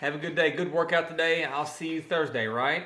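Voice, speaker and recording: With a Southern US accent, a man talks at a moderate pace in a fairly high pitch, with noticeable background noise behind him. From Arkansas. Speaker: personal trainer. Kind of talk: casual vlog talk to camera.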